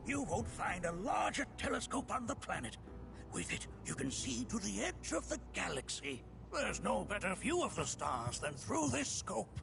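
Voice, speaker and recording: A man performs a put-on character voice at a moderate pace with very even loudness. Loud background noise runs underneath. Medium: video game. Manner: chuckling, grandfatherly.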